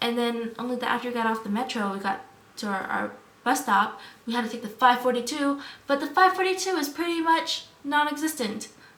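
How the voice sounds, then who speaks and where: A woman's high, animated voice in an American accent, with lively intonation at a fairly quick pace, plus audible room echo and noticeable background noise. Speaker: vlogger. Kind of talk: casual vlog storytelling. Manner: fast.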